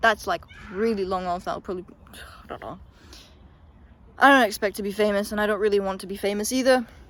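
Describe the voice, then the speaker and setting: A woman at medium pitch, talking at a very fast pace. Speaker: youtuber. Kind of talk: casual monologue. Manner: hesitant, filler words.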